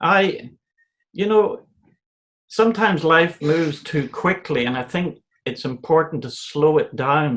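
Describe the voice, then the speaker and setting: Lively intonation marks this man's speech, pitched fairly high for a man. He moves at a fairly slow pace with long, frequent pauses. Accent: Northern Irish. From Northern Ireland, County Antrim. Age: 60s. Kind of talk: interview. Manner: halting, with repetitions.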